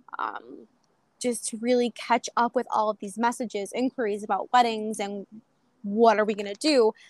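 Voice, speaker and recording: On a very clean recording with a silent background, a woman with a fairly high pitch talks at a moderate pace, the sound dry and close with no echo. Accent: Western New York. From Buffalo, New York. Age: 20s. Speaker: small business owner. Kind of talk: casual interview.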